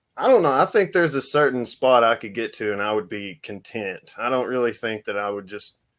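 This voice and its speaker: On a very clean recording with a silent background, a man with a plain, everyday voice speaks at a medium pitch and a fairly quick pace, with lively intonation and hardly any pauses. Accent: American. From United States. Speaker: fitness channel host. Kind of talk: casual interview chat.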